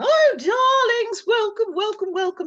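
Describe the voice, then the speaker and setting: In a put-on character voice with a British accent, the speaker squeaks along at an extremely high pitch, fairly slow and theatrical in tone. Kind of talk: posh. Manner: grand, theatrical, welcoming.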